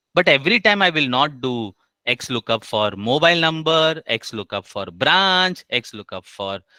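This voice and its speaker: This man's pitch is fairly high, with very wide swings. He speaks with an Indian accent. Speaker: HR trainer. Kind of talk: online class tutorial. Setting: online session with screen share. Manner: slow.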